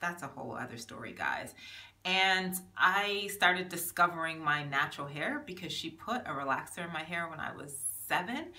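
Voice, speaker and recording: Audible room echo surrounds a woman with a fairly low voice. Her intonation is lively. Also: moderate pace, big swings in loudness. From Jamaica, then raised in the US. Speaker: small business owner and vlogger. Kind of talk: casual vlog monologue. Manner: chatty with many fillers.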